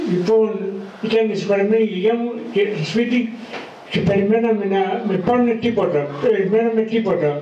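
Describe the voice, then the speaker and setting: Against noticeable background noise and audible room echo, a man speaks high for a man at a fairly slow pace. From Crete, Heraklion. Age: 60s. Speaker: care home resident. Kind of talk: personal storytelling. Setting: elderly care home event with audience. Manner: halting, many hesitations and repetitions.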